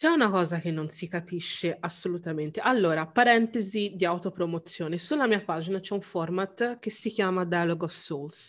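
At a moderate pace, a woman talks in an ordinary speaking voice with a medium pitch, ordinary pitch variation and hardly any pauses. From Italy. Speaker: anthropologist. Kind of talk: casual chat.

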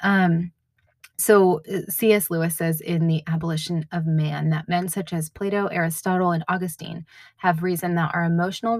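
On a very clean recording with a silent background, a woman speaks at a fairly low pitch and a fairly slow pace. Her voice is somewhat breathy, and the sound is dry and close, with no echo. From New England. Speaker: podcast host. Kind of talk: solo podcast monologue, devotional reflection. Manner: casual, with many fillers.

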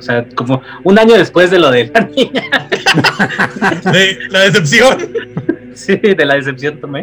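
A man speaks at a very slow pace in a high voice for a man, his pitch swinging very widely. Music plays in the background. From Mexico, Querétaro. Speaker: comedy podcast guest, aspirant in a mock casting. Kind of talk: casual chat, anecdotes.

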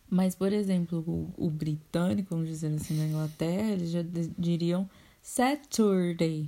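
Somewhat breathy, a woman speaks at a medium pitch with a dark, mellow tone. Her pace is moderate. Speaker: podcast host. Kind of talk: casual chat.

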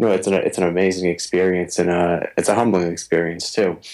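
A man with an East Coast US accent, very deep and low in pitch, at a fairly quick pace. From US East Coast. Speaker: attorney and guitarist. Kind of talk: interview conversation. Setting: remote call.

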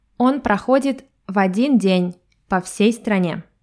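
A woman speaks at a fairly slow pace and a medium pitch, with ordinary pitch variation. Her tone is dark and mellow, and the recording is very clean with a silent background. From Russia. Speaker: language teacher podcaster. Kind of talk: podcast monologue for learners. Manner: clear, measured for learners.

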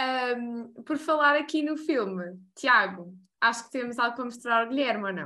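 Her tone is bright and sharp, and her pitch is high. The woman talks at a moderate pace. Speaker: podcast host. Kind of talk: interview.

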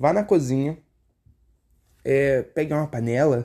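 Fairly high in pitch yet dark and mellow in tone, a man talks at a fairly slow pace. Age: 20s. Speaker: podcast host. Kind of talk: casual solo commentary. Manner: halting, with repeated filler words.

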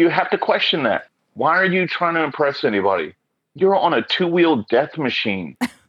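Speaking with an American accent, a man at a fairly high pitch uses very wide pitch swings and vocal fry at a moderate pace. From Oklahoma. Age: 40s. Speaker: motorcyclist. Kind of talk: casual chat.

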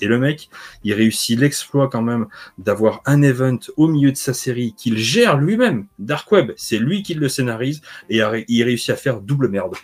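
Medium pitch from a man, a plain, everyday voice, moderate pace and ordinary pitch variation. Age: 40s. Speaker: comics video creator. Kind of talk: casual chat.

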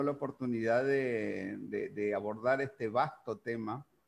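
His intonation fairly even, a man speaks at a medium pitch. He keeps a fairly slow pace. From Uruguay. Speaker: podcast host. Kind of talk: casual interview. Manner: halting.

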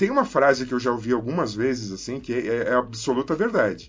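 With music in the background, a man talks at a fairly quick pace, his pitch swinging very widely. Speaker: cinematographer. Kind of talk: casual chat.

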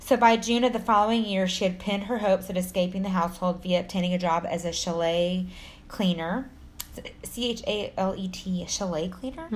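This woman, with a Texan accent, has a somewhat breathy voice at a medium pitch. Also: ordinary pitch variation. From Texas. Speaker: podcast co-host, storyteller narrating true crime. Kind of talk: casual, profane. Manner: fast talker.

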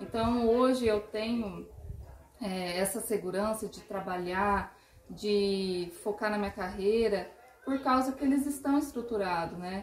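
A woman talks at a fairly slow pace in a fairly high pitch with ordinary pitch variation. Noticeable background noise runs underneath. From interior of São Paulo state, Brazil. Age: 30s. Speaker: marketing consultant. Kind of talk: podcast interview.

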